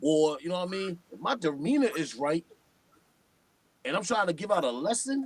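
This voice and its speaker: Speaking with a New York accent, a man with a high pitch delivers lively intonation at a moderate pace. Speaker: hip-hop artist. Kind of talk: casual chat. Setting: live stream. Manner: animated.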